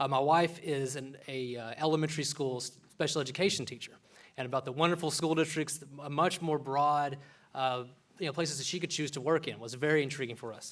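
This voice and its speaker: A man speaks fairly quickly with a Texan accent and a fairly high pitch. His intonation is fairly even, though his loudness swings widely. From Texas panhandle, Borger. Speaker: medical student. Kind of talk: public speech.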